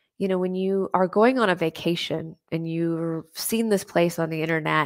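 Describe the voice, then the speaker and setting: This is a woman with an ordinary speaking voice at a medium pitch. Her pitch variation is ordinary. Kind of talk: guided meditation, visualization of expanding light. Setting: live online stream with comments. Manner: slow, soothing, calm and gentle.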